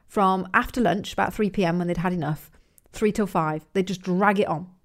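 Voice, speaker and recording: On a very clean recording with a silent background, a woman with an English accent speaks with ordinary pitch variation. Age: 40s. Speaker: podcast host, business coach. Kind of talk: motivational monologue. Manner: casual, conversational.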